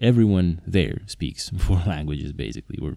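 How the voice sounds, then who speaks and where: The tone is dark and mellow, with vocal fry. Intonation is lively, in a Slovak accent. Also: man. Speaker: polyglot podcaster and interpreter. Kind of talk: solo podcast monologue.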